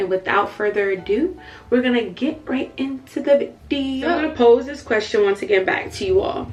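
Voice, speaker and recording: Over noticeable background noise, a woman talks at a fairly quick pace, her high voice moving in very wide pitch swings. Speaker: faith and lifestyle YouTuber. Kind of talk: vlog-style talk to camera. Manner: loud.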